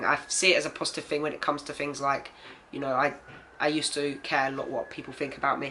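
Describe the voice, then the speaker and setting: Fairly high male voice with an English accent, at a fairly quick pace. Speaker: transgender vlogger. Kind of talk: personal video diary. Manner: casual, many fillers.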